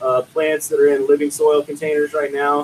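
A man with a normal speaking voice has a fairly high pitch and fairly even intonation. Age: 30s. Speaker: cultivation director. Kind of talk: casual chat.

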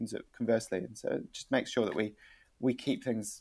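Speaking at a fairly quick pace, a man with a New Zealand accent comes through on a very clean recording with a silent background. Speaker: marketing agency director. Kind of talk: interview. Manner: hesitant, repeats words.

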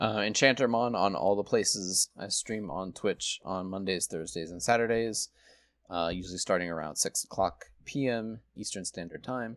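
On a very clean recording with a silent background and a dry, close sound with no echo, a man speaks in an ordinary speaking voice at a fairly low pitch, moderate pace and ordinary pitch variation, with big swings in loudness. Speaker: podcast co-host. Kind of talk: casual chat.

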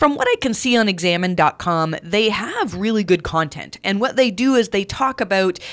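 A plain, everyday voice with a Canadian accent moves at a moderate pace with lively intonation. The recording is very clean, with a silent background. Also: woman. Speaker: podcast host, SEO consultant. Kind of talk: solo podcast monologue. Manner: many filler words (um, uh).

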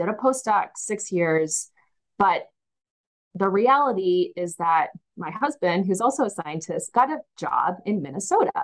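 A woman with a plain, everyday voice speaks at a fairly slow pace. Her pitch is medium and her intonation is lively. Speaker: cytogeneticist. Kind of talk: interview.

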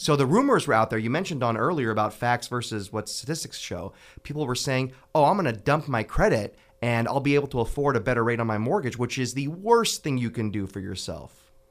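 With an American accent, a man speaks very fast at a medium pitch and with lively intonation. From US West, Fresno, California. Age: 30s. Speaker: city councilmember. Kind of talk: radio interview.

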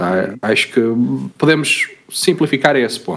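His pitch is medium, yet this man's voice makes very wide pitch swings. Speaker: podcast co-host. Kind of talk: casual chat.

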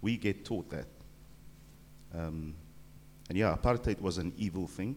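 With vocal fry and a very deep, low pitch, a man talks at a moderate pace with ordinary pitch variation. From South Africa, Cape Town. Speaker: church member. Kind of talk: panel discussion.

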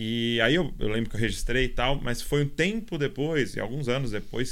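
This man speaks at medium pitch and a moderate pace, with ordinary pitch variation. It is a normal speaking voice. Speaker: podcast host. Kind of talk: podcast interview. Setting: recording away in Kansas City.

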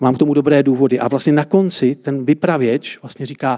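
Recorded dry and close with no echo, a man talks in a fairly high pitch. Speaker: preacher. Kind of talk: sermon. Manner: interactive, asks audience questions.

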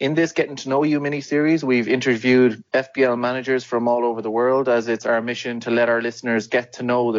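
This is a man with an ordinary speaking voice at a medium pitch. He speaks at a fairly quick pace with fairly even intonation. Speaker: podcast host. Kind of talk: casual interview chat.

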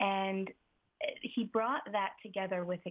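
Here a woman talks in an ordinary speaking voice at a medium pitch. Her intonation stays fairly even. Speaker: forest therapy guide. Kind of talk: interview. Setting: phone call. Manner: soothing.

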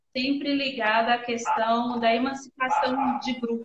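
A woman speaks at a fairly high pitch and a fairly slow pace, in a monotone with flat intonation. The sound is dry and close, with no echo. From northern Minas Gerais, Brazil. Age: 30s. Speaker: salon owner and entrepreneur. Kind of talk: interview on a live stream.

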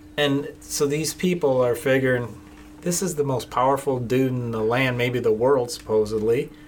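A man talks at medium pitch and a moderate pace, his pitch varying in an ordinary way while noticeable background noise plays behind him. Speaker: podcast host. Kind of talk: casual chat.

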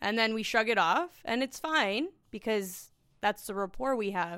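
A woman with a Canadian accent uses a normal speaking voice and lively intonation at a fairly slow pace. The recording is very clean, with a silent background. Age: 30s. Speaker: sales director. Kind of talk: casual chat. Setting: company boardroom.

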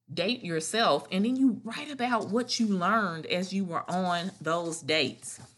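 A woman's normal speaking voice, fairly low in pitch, with lively intonation and a fairly slow pace. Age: 30s. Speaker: podcast host and wellness author. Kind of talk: solo podcast monologue.

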